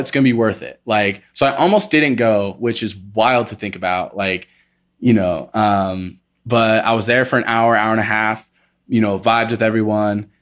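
A man with an American accent has an ordinary speaking voice, pitched in the middle range with fairly even intonation, at a moderate pace. The recording is very clean, with a silent background. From Indiana, US Midwest. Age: 20s. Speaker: dancer. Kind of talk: casual chat.

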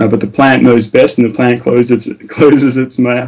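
Speaking at a fairly quick pace, a man with an Australian accent keeps his intonation flat. His delivery is monotone throughout. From Tasmania, Australia. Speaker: paramedic. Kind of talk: interview.

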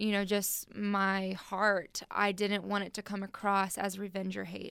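A woman with a Texan accent speaks at a fairly slow pace on a very clean recording with a silent background. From Texas, military family that moved often. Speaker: former NFL cheerleader. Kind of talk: radio interview. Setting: radio studio.

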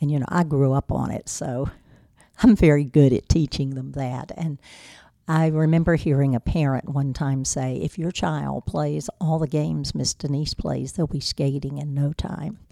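With an eastern North Carolina accent, a woman speaks at a moderate pace in a dark, mellow tone. Her pitch is very deep and low, with ordinary pitch variation. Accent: eastern North Carolina Southern. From US South (eastern North Carolina). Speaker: business owner. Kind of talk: interview.

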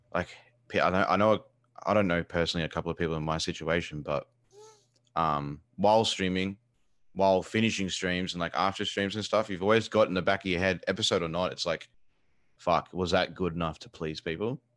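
Fairly quick and very deep, a man's voice carries an Australian accent and fairly even intonation. The background is quiet. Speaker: video game streamer. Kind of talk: casual chat. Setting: video call.

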